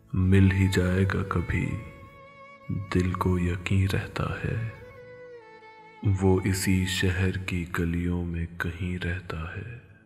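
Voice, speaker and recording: Over music in the background, a man with a very deep, low pitch speaks in a flat monotone. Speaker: poetry reciter. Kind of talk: poetry reading.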